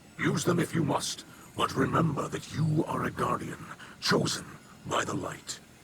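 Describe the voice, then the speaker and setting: A man's put-on character voice, fairly high in pitch and solemn in tone, over loud background noise. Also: moderate pace. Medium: video game. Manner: slow, formal, solemn.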